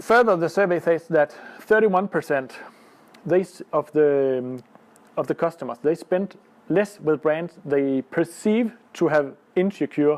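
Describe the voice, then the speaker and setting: Speaking with a Danish accent, a man uses a fairly high pitch and ordinary pitch variation. He leaves long, frequent pauses, and the sound is dry and close with no echo. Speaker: lawyer. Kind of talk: conference presentation. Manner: halting, many fillers.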